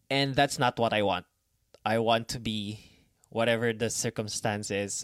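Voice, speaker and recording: A man with a Filipino accent speaks at a medium pitch and a fairly even intonation. The recording is very clean, with a silent background and a dry, close sound with no echo. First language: Tagalog. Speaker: podcast host. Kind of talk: solo podcast monologue. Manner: halting, many fillers.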